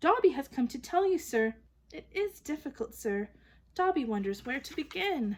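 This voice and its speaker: A put-on character voice from a woman, pitched high and delivered at a moderate pace. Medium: read story. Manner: servile, calls self by name, says sir constantly.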